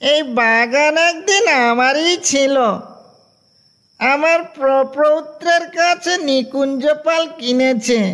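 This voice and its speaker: The speaker uses a put-on character voice at a high pitch. The pace is very slow. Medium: audio drama. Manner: mild, conversational.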